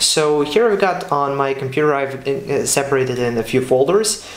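A man speaks at a fairly slow pace with a Serbian accent, his voice carrying audible room echo. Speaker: architecture student and video creator; video creator. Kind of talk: casual vlog talk. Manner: hesitant, many fillers and repeats. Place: home room.

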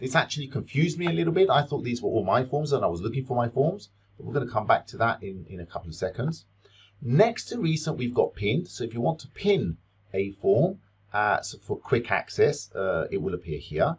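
At a fairly quick pace, a man talks with vocal fry and big swings in loudness. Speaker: teacher making a software tutorial. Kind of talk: tutorial.

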